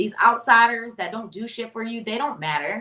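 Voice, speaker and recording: A woman talks at a very fast pace in an animated tone. Her pitch is fairly high. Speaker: pop culture podcast host. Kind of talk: casual pop culture commentary.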